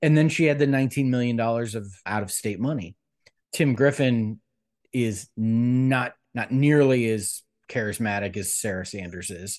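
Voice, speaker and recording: With an American accent, a plain, everyday voice speaks at a moderate pace with ordinary pitch variation against a quiet background. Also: man, medium pitch for a man. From US Midwest, Cleveland, Ohio. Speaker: political director, former congressional candidate. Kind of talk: interview.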